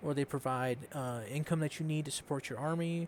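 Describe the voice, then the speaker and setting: A man's mumbling at a moderate pace and a fairly high pitch, with ordinary pitch variation. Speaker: gaming commentator. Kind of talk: gameplay tutorial. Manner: casual, hesitant with fillers.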